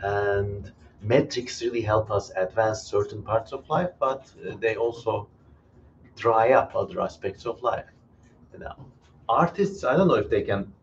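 A man's somewhat breathy voice with long, frequent pauses over light background noise. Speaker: live stream host. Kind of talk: live Q&A commentary. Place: home room. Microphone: headset.

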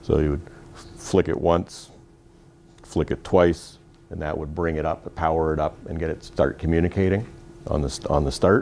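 A man's very deep, low voice with fairly even intonation and long, frequent pauses, over light background noise. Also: moderate pace. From Canada. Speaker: fire trainer instructor. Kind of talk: classroom equipment training briefing. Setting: classroom with small group. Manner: informal, conversational, inviting questions. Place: classroom.

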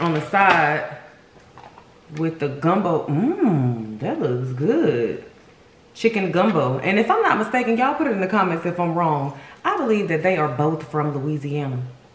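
There is audible room echo around a woman whose pitch is fairly low. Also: moderate pace. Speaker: food vlogger. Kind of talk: casual mukbang review chat. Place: home room.

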